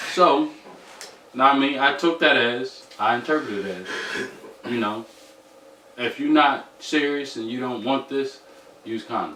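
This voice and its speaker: A man's fairly high voice at a fairly slow pace, broken by long, frequent pauses, over noticeable background noise. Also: ordinary pitch variation. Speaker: podcast guest. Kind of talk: casual chat.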